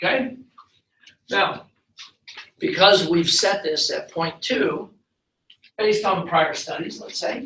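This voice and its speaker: Using a raised, projected voice with a bright, sharp tone, a man speaks at a high pitch and a very slow pace, with lively intonation and long, frequent pauses. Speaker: university lecturer. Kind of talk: lecture. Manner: slow, deliberate.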